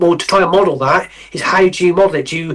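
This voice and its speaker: A man's voice with a West Country accent. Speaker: model railway painter and builder. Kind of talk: podcast interview. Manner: halting, many repeated words.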